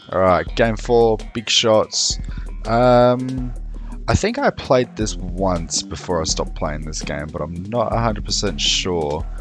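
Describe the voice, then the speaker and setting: A man talks at a fairly slow pace with music playing in the background. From Australia (moved there as a child). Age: 20s. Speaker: gaming YouTuber. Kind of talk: casual gameplay commentary.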